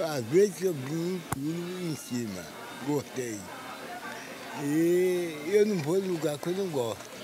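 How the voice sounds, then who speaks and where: A man speaks at a very slow pace with lively intonation and long, frequent pauses, in a dry sound with no echo and noticeable background noise. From Minas Gerais, Brazil. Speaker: interviewee. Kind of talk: interview answer.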